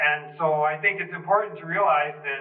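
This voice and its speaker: A man's voice, delivered at a moderate pace, carries audible room echo. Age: 60s. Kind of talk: talk in a group discussion.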